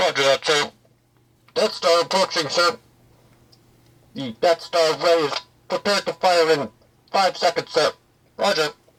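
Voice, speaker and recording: A put-on character voice at a middle pitch moves at a moderate pace, broken by long, frequent pauses. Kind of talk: military, formal.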